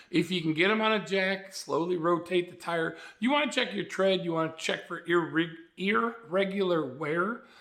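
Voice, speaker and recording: Amid audible room echo, a man with a high pitch and a bright, sharp tone speaks at a moderate pace with ordinary pitch variation. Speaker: motorcycle vlogger. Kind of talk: tutorial. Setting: garage. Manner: casual, conversational.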